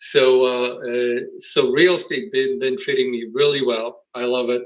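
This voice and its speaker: At a moderate pace, a man with a medium pitch speaks with a Polish accent. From Poland. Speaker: real estate investor. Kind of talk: interview. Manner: halting.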